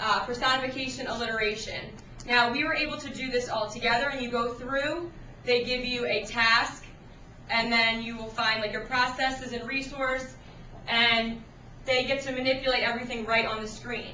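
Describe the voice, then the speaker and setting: A woman talks at a moderate pace in a high pitch, her intonation monotone and flat. There is audible room echo and noticeable background noise. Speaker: sixth grade writing teacher. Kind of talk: classroom technology demonstration. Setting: classroom.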